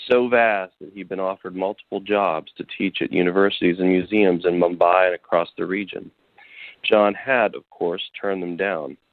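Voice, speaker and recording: A man with fairly low pitch uses a normal speaking voice, moving at a moderate speed while his intonation stays fairly even. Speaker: action adventure author. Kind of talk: interview.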